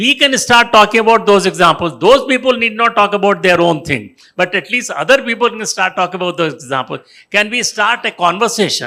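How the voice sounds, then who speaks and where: Projecting his voice, a man speaks with an Indian accent at a moderate pace. His tone is bright and sharp. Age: 80s+. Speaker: retired business executive and author. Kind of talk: panel discussion. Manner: halting.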